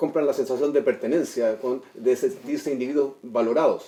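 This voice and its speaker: Lively intonation runs through this man's speech. His voice sits fairly high. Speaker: TV show guest. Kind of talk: TV panel discussion. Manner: fast.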